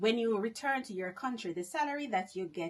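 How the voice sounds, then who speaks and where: A woman's somewhat breathy, medium-pitched voice in a Jamaican accent, with very wide pitch swings. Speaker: vlogger. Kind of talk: casual monologue vlog.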